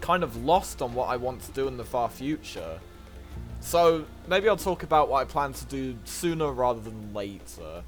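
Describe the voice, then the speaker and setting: This man's speech moves at a moderate pace. Behind him, music can be heard. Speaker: speedrunner. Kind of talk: casual talk to camera. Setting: fuzzy home microphone.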